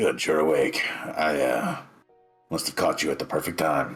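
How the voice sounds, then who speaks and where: Faint music plays in the background as a man uses a raspy, put-on character voice. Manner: fake-friendly, smiling.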